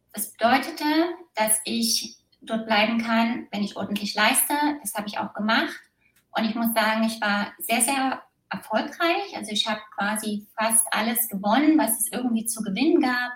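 A woman with an unremarkable speaking voice and a fairly high pitch talks at a moderate pace, showing ordinary pitch variation and big swings in loudness. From East Germany, small village. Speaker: former competitive athlete. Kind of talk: interview testimony.

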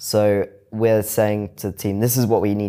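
A man with a British accent, fairly low and dark, mellow in tone, at a moderate pace in a very clean recording with a silent background. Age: 20s. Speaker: fintech founder and CEO. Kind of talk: interview. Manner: casual.

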